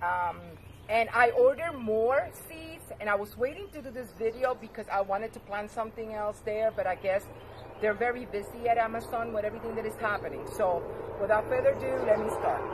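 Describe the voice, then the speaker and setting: A woman with a non-native accent, fairly high in pitch and fairly quick in pace, with ordinary pitch variation over noticeable background noise. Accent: foreign. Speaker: gardening vlogger. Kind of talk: tutorial. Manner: hesitant, many fillers.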